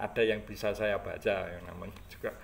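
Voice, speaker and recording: This is a man speaking. He keeps a moderate pace. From Java, Indonesia. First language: Javanese (speaking Indonesian). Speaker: history content creator. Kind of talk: casual talk about a book. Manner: halting, many fillers.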